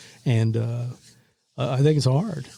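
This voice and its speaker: Speaking with an American accent, a man has a dark, mellow, somewhat breathy tone at medium pitch, and his intonation is fairly even. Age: 60s. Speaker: retired radio broadcaster. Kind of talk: interview. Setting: podcast recording. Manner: conversational, with many fillers and repetitions.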